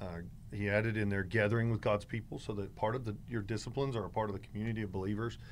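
Very fast and flat in intonation, a man speaks at a fairly low pitch with audible room echo. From North Carolina, near Greensboro. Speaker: pastor. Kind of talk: casual interview.

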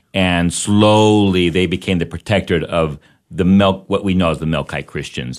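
Against a quiet background, a man speaks with an American accent. His very deep, low voice moves at a moderate pace. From Fort Worth, Texas. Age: 40s. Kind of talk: radio interview. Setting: radio studio.

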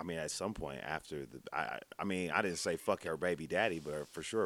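A man speaks at a fairly quick pace in a very deep, low voice with vocal fry. His pitch variation is ordinary. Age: 30s. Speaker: podcast co-host. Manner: animated, joking.

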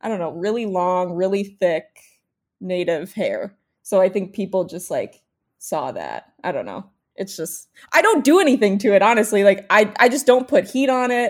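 Against a silent background on a very clean recording, a woman with an unremarkable speaking voice talks at a moderate pace and medium pitch, with lively intonation. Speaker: recent college graduate. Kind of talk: casual chat.

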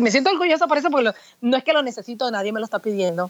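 Here a woman talks with lively intonation. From Puerto Rico. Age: 40s. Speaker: pastor. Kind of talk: interview.

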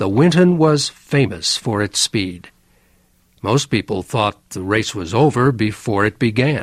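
An unremarkable speaking voice from a man at medium pitch, fairly slow pace and a dry, close sound with no echo. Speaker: narrator. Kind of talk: vintage educational biography narration, scripted. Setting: studio. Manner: slow, clear, measured; formal, even, simplified vocabulary.

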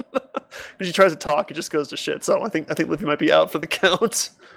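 Against noticeable background noise, a man speaks fairly quickly at a high pitch with lively intonation. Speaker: podcast host. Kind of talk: casual chat.

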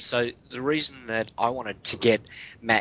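A man talks with an Australian accent at a moderate pace. His pitch is medium, with ordinary pitch variation. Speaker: guest co-host. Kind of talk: casual chat. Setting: remote call, early morning.

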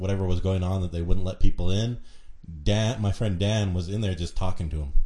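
Very deep and low in pitch, a man's somewhat breathy voice has a dark, mellow tone and fairly even intonation at a very fast pace. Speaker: intern co-host.

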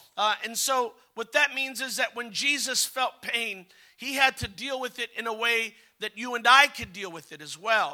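In a dry, close sound with no echo, a man uses a raised, projected voice at a moderate pace, with big swings in loudness and ordinary pitch variation. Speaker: visiting preacher. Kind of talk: revival sermon, preacher in full flow. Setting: church with congregation. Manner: animated, fervent, urging the congregation to respond; exhorting, rhythmic, call-and-response.

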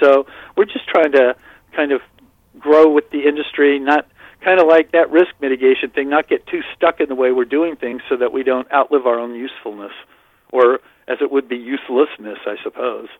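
At a fairly quick pace, a man with a normal speaking voice talks at a fairly high pitch with fairly even intonation. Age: 60s. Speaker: fantasy baseball writer. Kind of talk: casual chat.

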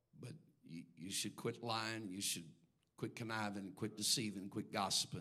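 A man's bright, sharp voice, fairly low in pitch, at a moderate pace. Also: ordinary pitch variation. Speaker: pastor. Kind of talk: sermon. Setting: church. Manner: measured, not hollering.

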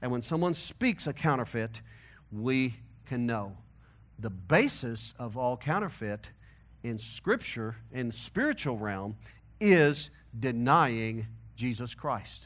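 A man with a Missouri accent talks at a medium pitch and a very slow pace, with ordinary pitch variation. He leaves long, frequent pauses on a very clean recording with a silent background. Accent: Missouri twang, Midwestern-Southern American. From US Midwest, St. Louis, Missouri. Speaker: pastor. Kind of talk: sermon. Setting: church.

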